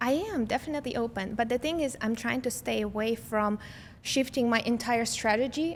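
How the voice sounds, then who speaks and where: A woman with a Russian accent talks at a fairly quick pace and a fairly high pitch. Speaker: lifestyle content creator. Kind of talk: podcast interview answer.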